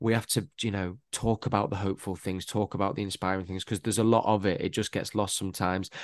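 Speaking with a Mancunian accent, a man keeps his intonation fairly even. The background is quiet. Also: dry, close sound with no echo. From Manchester, England. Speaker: actor and radio presenter. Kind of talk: casual interview chat.

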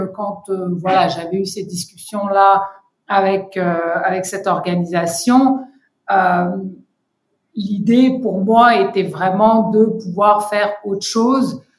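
A somewhat breathy woman at a very slow pace, with long, frequent pauses and audible room echo. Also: medium pitch for a woman, ordinary pitch variation. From Senegal and Côte d'Ivoire, with US mother. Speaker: founder and director of an advocacy organisation. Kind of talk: interview. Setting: remote recording. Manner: hesitant, many fillers.

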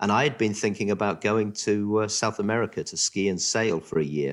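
Fairly low in pitch, a man speaks at a moderate pace on a very clean recording with a silent background. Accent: southern English. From southern England. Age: 50s. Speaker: special education school director. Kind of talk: interview.

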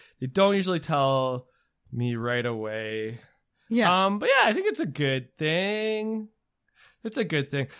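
Over a silent background in a very clean recording, a man with a fairly high pitch speaks at a fairly slow pace, his pitch swinging very widely between long, frequent pauses. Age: 30s. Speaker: podcast guest, military veteran. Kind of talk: casual chat.

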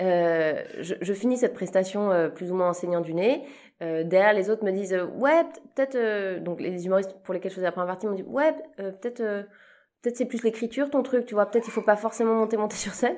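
A woman in a normal speaking voice, medium in pitch, with lively intonation and a fairly quick pace over a quiet background. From Switzerland. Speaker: comedian. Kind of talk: casual chat. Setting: backstage after a show.

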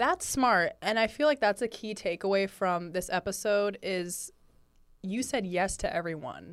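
Speaking with an American accent, a woman uses a medium pitch and a fairly slow pace. Her pitch variation is ordinary, and the recording is very clean with a silent background. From Northern California. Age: 20s. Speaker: podcast host. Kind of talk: casual interview chat. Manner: animated.

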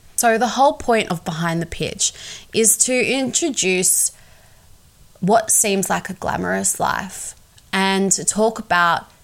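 Her intonation is lively. The woman talks in an Australian accent. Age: 20s. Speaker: podcast host, PR agency owner. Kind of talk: podcast trailer monologue.

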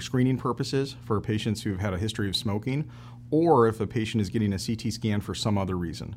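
This man has a plain, everyday voice and an American accent. His pitch is fairly low, with ordinary variation, and he speaks at a fairly quick pace. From Michigan, US Midwest. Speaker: thoracic surgeon. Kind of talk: interview, expert explanation. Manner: measured, some fillers.

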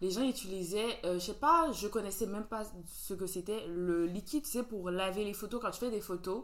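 A woman at a moderate pace, an ordinary speaking voice. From Benin. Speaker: podcast host. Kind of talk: casual chat.

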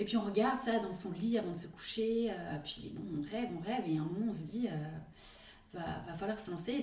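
The speaker talks at a moderate pace with ordinary pitch variation, amid noticeable background noise and audible room echo. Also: woman. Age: 30s. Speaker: mother of four, family sailing traveller. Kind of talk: casual interview. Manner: hesitant, many fillers.

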